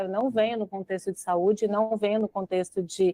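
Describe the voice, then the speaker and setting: At a moderate pace, a woman uses an ordinary speaking voice with a medium pitch and ordinary pitch variation. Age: 40s. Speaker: marketing director. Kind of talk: podcast interview.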